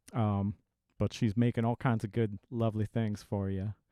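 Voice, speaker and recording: Fairly even intonation marks this man's speech. He has a strong Southern US accent and talks at a moderate pace. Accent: thick southern US. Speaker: folk musician. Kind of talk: casual chat between tunes. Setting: home room. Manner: halting.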